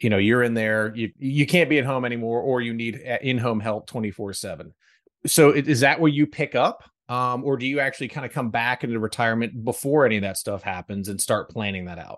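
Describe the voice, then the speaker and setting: Over a quiet background, a man with an unremarkable speaking voice talks at a fairly quick pace at a medium pitch with ordinary pitch variation. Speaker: podcast host. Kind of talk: interview, casual conversational.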